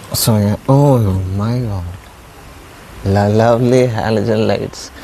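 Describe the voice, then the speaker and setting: A man speaks with ordinary pitch variation. Noticeable background noise is audible. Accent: Indian. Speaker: vlogger. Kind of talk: casual vlog monologue. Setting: outdoors.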